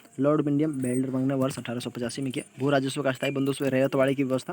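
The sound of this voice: A man talks fast at a medium pitch.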